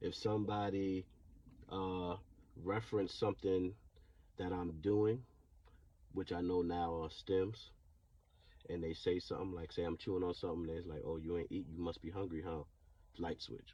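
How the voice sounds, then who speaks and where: A man with a very deep, low voice and a dark, mellow tone speaks at a moderate pace, somewhat breathy and fairly even in intonation, with long, frequent pauses. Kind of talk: personal testimony. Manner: stuttering; halting.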